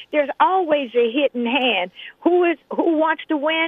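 A woman speaks with a high pitch. She has an American accent. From Compton, Los Angeles. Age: 70s. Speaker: caller. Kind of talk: opinionated call-in. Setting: phone call.

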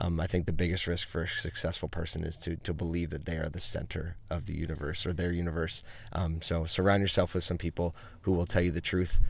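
Somewhat breathy and very deep in pitch, a man speaks at a very fast pace. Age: 40s. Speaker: entrepreneur, marketing agency owner. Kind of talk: casual interview. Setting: in a car at a conference.

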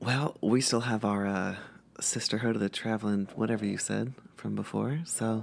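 In a put-on character voice, a woman speaks at a moderate pace with an extremely low pitch, vocal fry, a slightly husky edge and fairly even intonation.

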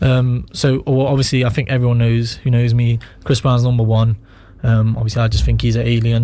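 Noticeable background noise runs throughout. Over it, a man talks. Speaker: rapper. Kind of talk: casual chat. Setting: studio.

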